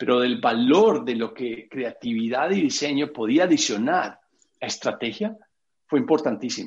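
A man with very wide pitch swings. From Colombia, Medellín. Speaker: architect and creative director. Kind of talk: interview. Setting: video call. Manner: halting.

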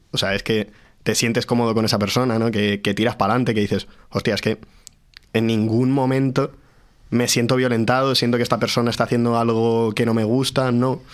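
Monotone, flat delivery at a fairly quick clip, with very even loudness throughout. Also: man, medium pitch for a man. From Madrid region (Pozuelo). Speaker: guitarist. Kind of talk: casual chat.

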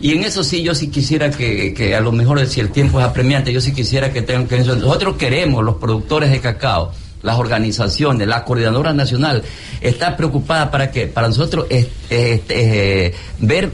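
Over noticeable background noise and audible room echo, a man with a medium pitch speaks at a moderate pace with lively intonation. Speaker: cocoa farmer. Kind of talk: radio interview. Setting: live broadcast at a fair. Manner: halting.

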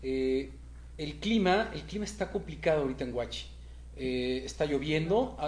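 Audible room echo surrounds a man speaking with a Mexican accent. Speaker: race organizer. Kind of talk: interview.

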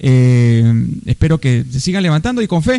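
A man with fairly high pitch and ordinary pitch variation speaks in an unremarkable speaking voice. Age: 40s. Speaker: podcast host. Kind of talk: casual chat.

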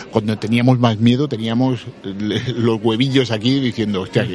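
Over noticeable background noise, a man speaks at a medium pitch in a flat monotone with very even loudness. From Andalusia, Cádiz. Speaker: actor and comic book critic. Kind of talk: interview. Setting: audiovisual festival.

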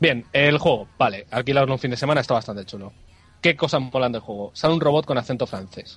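At a very fast pace, a man talks in a somewhat breathy voice of medium pitch with ordinary pitch variation. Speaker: video game website writer. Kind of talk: casual chat.

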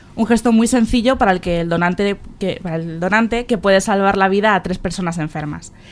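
A woman at a very fast pace and medium pitch, with ordinary pitch variation, over music in the background. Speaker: local radio host. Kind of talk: radio interview. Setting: on location in a hospital. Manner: halting, many fillers and repetitions.

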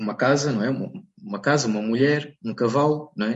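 A man speaking at a fairly slow pace. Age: 30s. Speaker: bird illustrator and environmental consultant. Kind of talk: interview. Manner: halting, with frequent repetitions and fillers.

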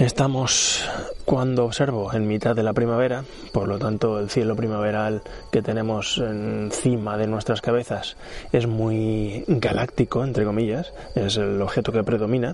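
A soft-spoken man at medium pitch, fairly slow and relaxed, calm in tone, with fairly even intonation and noticeable background noise. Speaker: amateur astronomy podcaster. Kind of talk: observing session narration. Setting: outdoors on a terrace.

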